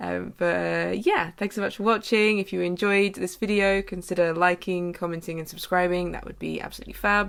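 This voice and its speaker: Hardly pausing, a woman with a British accent talks at a fairly quick pace with big swings in loudness. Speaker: artist vlogger. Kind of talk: vlog outro.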